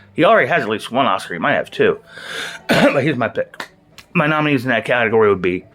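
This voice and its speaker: A man's fairly high voice at a very fast pace. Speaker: movie reviewer. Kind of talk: casual monologue.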